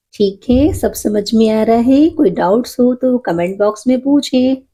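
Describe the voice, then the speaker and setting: The voice has a dark, mellow tone and sounds somewhat breathy. Its intonation is lively. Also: woman. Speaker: knitting instructor. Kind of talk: tutorial. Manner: slow, counting stitches aloud.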